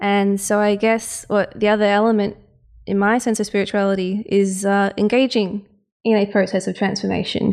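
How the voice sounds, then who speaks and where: Recorded very cleanly with a silent background, a woman talks at a moderate pace in a medium-pitched voice, with monotone, flat intonation and very even loudness. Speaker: co-host interviewer. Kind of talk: interview conversation.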